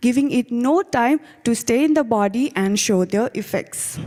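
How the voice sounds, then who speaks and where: The intonation is lively. The pace stays moderate. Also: woman. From Nepal. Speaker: graduate student researcher. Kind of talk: competition presentation. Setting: video call.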